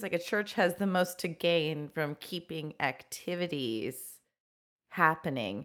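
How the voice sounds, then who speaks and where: A woman talks at a very slow pace with a fairly low pitch. The recording is very clean, with a silent background. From Italian-American. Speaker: co-host and producer. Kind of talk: casual chat. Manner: loud.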